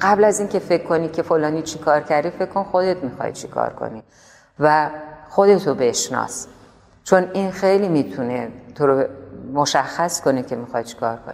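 Speaking in a Tehran accent at a moderate pace, a woman with a very deep, low pitch uses lively intonation and big swings in loudness. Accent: Tehrani Persian. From Tehran, Iran. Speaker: painter. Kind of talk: interview answer.

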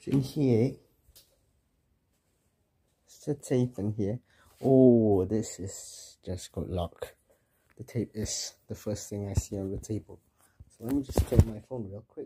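A man with a dark, mellow, somewhat breathy tone speaks at a fairly slow pace, with long, frequent pauses, big swings in loudness and ordinary pitch variation. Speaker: vlogger. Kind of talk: casual vlog chat. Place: home room. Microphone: phone near.

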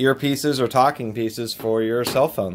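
Ordinary pitch variation runs through the man's voice. His pace is moderate. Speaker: product reviewer. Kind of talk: casual product review. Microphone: phone near.

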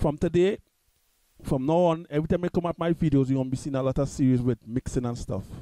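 Talking at a very fast pace, a man with a fairly high voice and ordinary pitch variation has a dark, mellow tone, heard dry and close with no echo. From Trinidad and Tobago. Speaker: music tutorial youtuber. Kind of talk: tutorial. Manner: halting.

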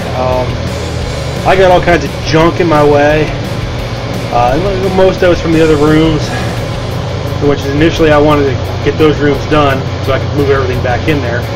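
With music in the background, a man talks at a fairly quick pace with ordinary pitch variation. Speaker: home DIY vlogger. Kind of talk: casual vlog chat. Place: home room. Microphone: phone near.

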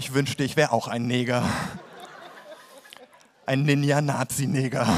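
Noticeable background noise sits behind a man speaking at a moderate pace and medium pitch, his intonation monotone and flat. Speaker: poetry slam performer. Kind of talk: comic poetry slam performance. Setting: live stage, audience. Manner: deadpan.

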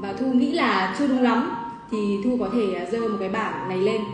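Over clear background music and audible room echo, a woman speaks at a moderate pace with ordinary pitch variation. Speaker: livestream host. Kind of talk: livestream host chat. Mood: cheerful, friendly. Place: cafe.

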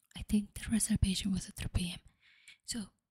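Against a quiet background, the voice carries vocal fry and a monotone, flat intonation at a moderate pace. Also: woman. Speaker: storytelling podcaster. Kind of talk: casual vlog chat. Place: home room. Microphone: studio mic.

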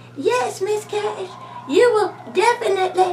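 A female-sounding cartoonish character voice, extremely high in pitch, speaks at a fairly slow pace over clear background noise. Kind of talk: talk show interview host. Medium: puppet. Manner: gracious, polite.

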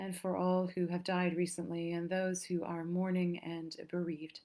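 The speech is monotone and flat, delivered at a fairly slow pace. The background is quiet. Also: woman. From England. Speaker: clergy leading prayer. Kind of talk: liturgical prayer service. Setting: church. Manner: calm, measured. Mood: calm, solemn. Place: home room. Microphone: webcam.

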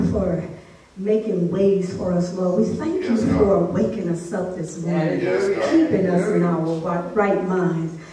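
A fairly slow pace with audible room echo and noticeable background noise. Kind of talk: prayer. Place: church.

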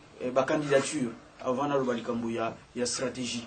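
With light background noise behind him, a man speaks at a fairly slow pace in a monotone, flat intonation. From DR Congo. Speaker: opposition politician. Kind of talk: political talk show discussion. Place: office.

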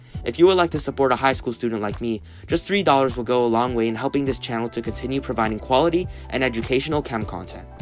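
A man races through his words at a very fast pace with ordinary pitch variation as music plays in the background. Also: dry sound with no echo. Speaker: high school student chemistry channel host. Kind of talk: science explainer narration.

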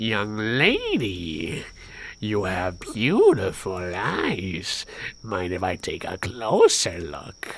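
A put-on character voice, low in pitch and very slow, over light background noise. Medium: game stream. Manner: oily, flattering.

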